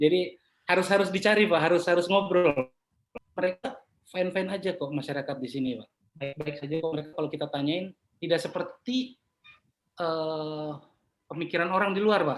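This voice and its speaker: With a Papuan accent, a man speaks at a fairly quick pace in a high-pitched voice with ordinary pitch variation. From Papua, Jayapura. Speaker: property appraiser. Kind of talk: interview conversation. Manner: casual.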